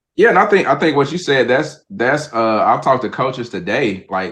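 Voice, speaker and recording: With lively intonation, a man speaks in a Southern US accent. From Mississippi, US South. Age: 30s. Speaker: sports coach. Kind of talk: podcast interview.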